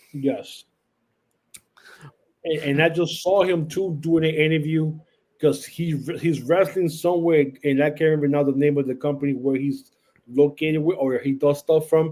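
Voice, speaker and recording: A man with a Puerto Rican accent talks at a moderate pace, leaving long, frequent pauses. His fairly high voice has a dark, mellow tone and fairly even intonation. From Puerto Rico. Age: 50s. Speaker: wrestling podcast host, guest. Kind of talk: casual chat.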